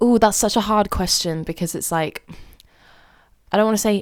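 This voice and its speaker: A woman's medium-pitched voice with a British accent, dry and close with no echo, on a very clean recording with a silent background. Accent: RP. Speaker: drama student. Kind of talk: casual chat.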